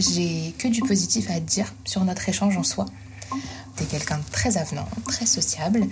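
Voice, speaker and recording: Moderate pace and very even loudness, with long, frequent pauses over noticeable background noise. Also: woman. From Île-de-France (Essonne). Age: 20s. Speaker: single on a dating show. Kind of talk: casual chat.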